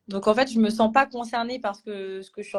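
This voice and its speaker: Fairly level intonation from a woman talking at a moderate rate. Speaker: chartered accountant trainee. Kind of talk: live stream panel discussion. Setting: Instagram live video call. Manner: loud; hesitant with many fillers.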